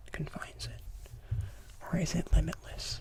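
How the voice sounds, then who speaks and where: A man's whisper unfolds at a very slow pace while noticeable background noise persists. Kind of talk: ASMR lecture. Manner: soft-spoken, whispery.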